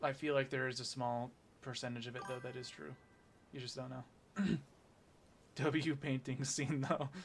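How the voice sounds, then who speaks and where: A man speaks with monotone, flat intonation and a somewhat breathy voice. He leaves long, frequent pauses. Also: medium pitch for a man. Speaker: gaming streamer. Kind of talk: casual live stream chat. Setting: live stream. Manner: fast.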